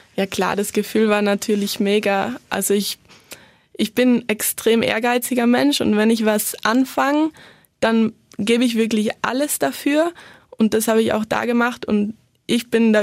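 With a plain, everyday voice, a woman speaks at a fairly slow pace in a fairly high pitch. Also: very even loudness. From South Tyrol, Italy. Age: 20s. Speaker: former competitive skier and student. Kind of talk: interview.

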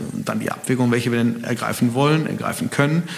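Noticeable background noise behind a man's voice, its pitch moving in a normal way. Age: 40s. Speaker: family business owner and managing director. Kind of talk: interview. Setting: in person at his company. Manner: hesitant, many fillers.

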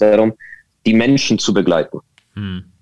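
A man talks at a moderate pace, recorded with a dry, close sound and no echo. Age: 40s. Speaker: digital agency consultant. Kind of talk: interview. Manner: hesitant, many fillers.

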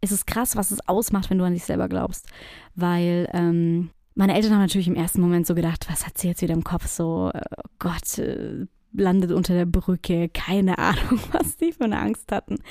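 In a very clean recording with a silent background and a dry, close sound with no echo, a woman with a dark, mellow tone and medium pitch speaks at a moderate pace with fairly even intonation. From southwestern Germany, near Stuttgart. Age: 30s. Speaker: podcast host, personal branding consultant. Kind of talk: solo podcast monologue. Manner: casual, many filler sounds.

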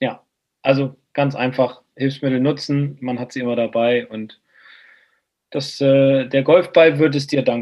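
The speech moves at a very slow pace with fairly even intonation and long, frequent pauses. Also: man, medium pitch for a man. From northern Germany, Bremen. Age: 40s. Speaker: golf instructor. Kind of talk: casual chat.

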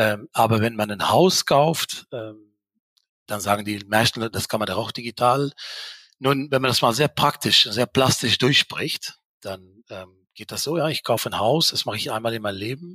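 A man's voice carries a bright, sharp tone at a moderate pace. The sound is dry and close with no echo. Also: medium pitch for a man, ordinary pitch variation. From Belgium, Dutch-speaking. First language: Dutch (speaking German). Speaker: mortgage broker executive. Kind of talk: interview. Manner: hesitant, many fillers.

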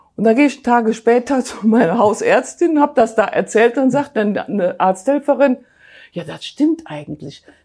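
Speaking at a moderate pace, a woman uses a high pitch and lively intonation, with a dark, mellow tone. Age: 60s. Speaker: weight-loss program participant. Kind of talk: interview testimony.

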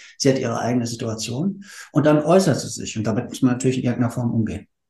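With a dark, mellow tone, a man talks at a very fast pace, medium in pitch and somewhat breathy. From Hesse, Frankfurt area. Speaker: marketing manager. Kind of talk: casual chat.

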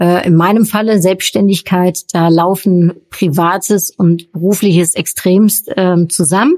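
Speaking very slowly at a medium pitch, a woman keeps fairly even intonation and very even loudness in a dry, close sound with no echo. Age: 40s. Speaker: podcast host and workshop coach. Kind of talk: solo podcast Q&A monologue. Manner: hesitant, many filler sounds.

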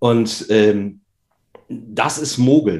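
A man's medium-pitched voice shows ordinary pitch variation as he speaks. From Lower Saxony, Germany. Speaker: doctor and amateur golfer. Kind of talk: casual interview. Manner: relaxed.

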